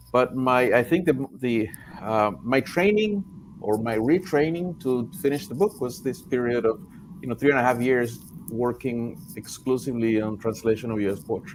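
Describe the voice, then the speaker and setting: Over noticeable background noise, a man with a Spanish accent and medium pitch speaks with lively intonation. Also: moderate pace. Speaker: translator and poet. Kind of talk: panel discussion. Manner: halting, many repetitions.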